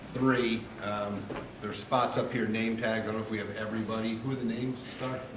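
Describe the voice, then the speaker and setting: A man at medium pitch and a fairly quick pace, flat and monotone, with audible room echo and noticeable background noise. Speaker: school board president chairing meeting. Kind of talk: public meeting chairing. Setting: school board meeting room. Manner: loud.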